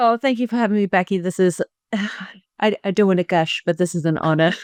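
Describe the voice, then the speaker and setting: With a slight South African accent, a woman talks at a very fast pace and a medium pitch. The sound is dry and close with no echo, over a quiet background. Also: ordinary pitch variation. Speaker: pelvic health coach. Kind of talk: interview podcast.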